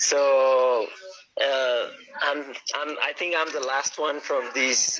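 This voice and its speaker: A man talks at a very slow pace. He has a Spanish accent. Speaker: yo-yo player. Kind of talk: live stream interview. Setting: live video call on phone.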